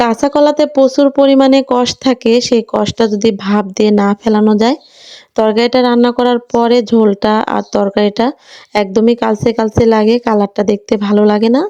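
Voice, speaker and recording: A woman with a fairly high pitch and a dark, mellow tone speaks with fairly even intonation and very even loudness, in a dry, close sound with no echo. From Bangladesh, Natore district. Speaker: village cooking vlogger. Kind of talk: vlog narration while cooking. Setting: outdoors at a clay stove at a village home.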